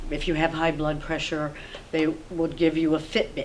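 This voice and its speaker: A woman speaks with a fairly low pitch. Noticeable background noise runs behind her. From Vermont. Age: 60s. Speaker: local resident. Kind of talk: oral history interview. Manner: rambling, halting.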